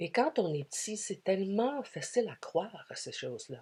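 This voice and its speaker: With an English accent, the speaker uses a dark, mellow tone, very wide pitch swings and a very slow pace. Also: woman. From Quebec, Canada. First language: English (speaking French). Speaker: spiritual speaker. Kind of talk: spiritual talk. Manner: hesitant, many fillers.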